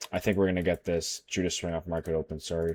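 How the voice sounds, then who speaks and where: Quiet and very fast, this man speaks in a very deep, low pitch with monotone, flat intonation. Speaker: day trader. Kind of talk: screen-share trading tutorial. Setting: livestream recording. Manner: quiet while focused; casual, thinking aloud. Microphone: muffled, covering mouth.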